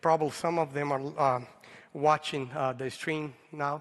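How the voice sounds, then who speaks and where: In a Brazilian accent, a man with a fairly high pitch speaks at a fairly slow pace. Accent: Brazilian Portuguese accent, noticeable. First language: Portuguese. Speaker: pastor. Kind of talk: sermon. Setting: church service, livestreamed. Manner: halting.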